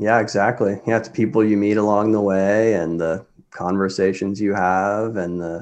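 A man with an American accent and an ordinary speaking voice, fairly low in pitch with ordinary pitch variation, at a fairly slow pace over a quiet background. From Kansas. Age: 20s. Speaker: medical school applicant, former music student. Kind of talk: casual interview chat.

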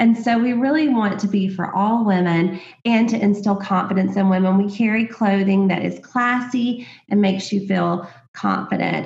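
With noticeable background noise behind her, a woman talks at a moderate pace and fairly even intonation. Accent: American. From US South, small-town Alabama. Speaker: boutique owner, former sorority consultant. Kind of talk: casual interview chat.

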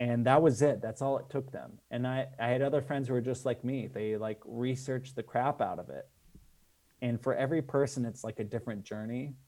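With a General American accent, a man speaks at a moderate pace and medium pitch in a dark, mellow tone with fairly even intonation, recorded very cleanly against a silent background. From Las Vegas, Nevada, US. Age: 40s. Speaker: film director. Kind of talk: casual interview chat.

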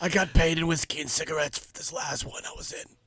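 Using a put-on character voice, a man talks very fast at a high pitch, sounding raspy and husky. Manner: flirty, world-weary.

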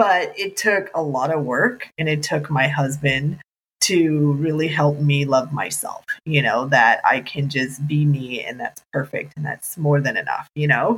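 Speech with an American accent, ordinary pitch variation and a fairly slow pace, over music in the background. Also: woman, very deep, low pitch for a woman. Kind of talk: casual chat.

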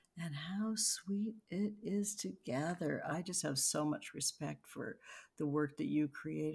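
Very slow and somewhat breathy, a woman speaks at a very deep, low pitch with lively intonation and an American accent, on a very clean recording with a silent background. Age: 50s. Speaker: artist and oracle deck creator. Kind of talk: casual interview.

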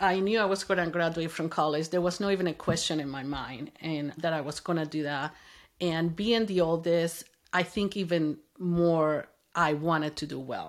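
In a Spanish accent, a woman with a fairly low pitch speaks at a moderate pace with fairly even intonation on a very clean recording with a silent background. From Venezuela. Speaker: mother of the host, immigrant. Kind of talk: interview, personal story.

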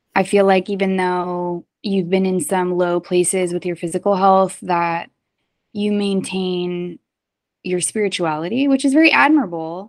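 On a very clean recording with a silent background, a woman in a normal speaking voice talks at a moderate pace, her medium pitch showing ordinary pitch variation. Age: 30s. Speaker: podcast host, wellness practitioner. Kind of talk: casual conversation.

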